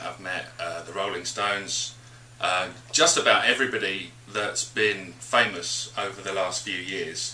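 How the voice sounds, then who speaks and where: Speaking at a fairly slow pace with a British accent, a man with a fairly low pitch is heard over noticeable background noise. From England. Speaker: radio DJ. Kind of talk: interview answer. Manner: energetic.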